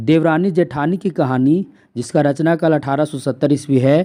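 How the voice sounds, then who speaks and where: A man speaks at a fairly slow pace with a dark, mellow tone. His pitch moves in an ordinary way. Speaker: online exam-prep teacher. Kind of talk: lecture. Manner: repetitive, emphatic teaching style.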